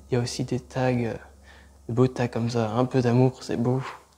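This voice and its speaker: Talking at a fairly quick pace, a man with a medium pitch and a dark, mellow tone keeps a monotone, flat intonation. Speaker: urban explorer vlogger. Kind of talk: exploration vlog commentary; scripted narration.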